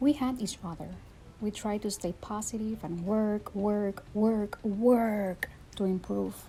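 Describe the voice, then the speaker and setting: A woman with a Puerto Rican accent speaks very slowly, her tone dark and mellow and her voice somewhat breathy. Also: medium pitch for a woman, fairly even intonation. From Puerto Rico. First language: Spanish. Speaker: teacher. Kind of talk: personal testimony.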